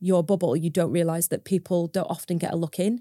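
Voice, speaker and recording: In a Lancashire accent, a woman speaks with a dark, mellow tone at a medium pitch, her intonation monotone and flat. The sound is dry and close, with no echo. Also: very clean recording, silent background. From northern England, Preston, Lancashire. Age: 30s. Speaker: farmer and social media creator. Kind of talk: interview conversation.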